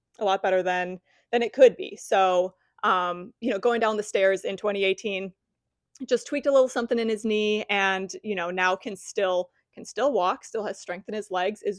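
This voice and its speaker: A plain, everyday voice at a fairly quick pace with fairly even intonation, dry and close with no echo, over a quiet background. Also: woman. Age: 30s. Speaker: fitness coach. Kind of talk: podcast interview host.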